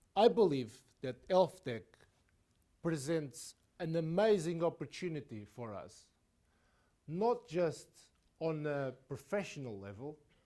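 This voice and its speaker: A man with a fairly high pitch and a dark, mellow tone speaks fairly slowly, his pitch swinging very widely and his loudness shifting a lot, with long, frequent pauses. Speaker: digital health consultant and speaker. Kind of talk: keynote talk.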